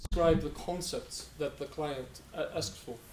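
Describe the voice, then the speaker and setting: Speaking with an Icelandic accent, a man keeps a moderate pace. Audible room echo and noticeable background noise are present. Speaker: web developer. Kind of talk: conference talk. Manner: halting, many fillers and repetitions.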